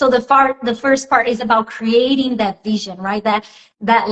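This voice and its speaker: Moderately paced, somewhat breathy speech from a woman, fairly high in pitch. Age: 30s. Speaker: life coach and author. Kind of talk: interview. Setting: live video stream.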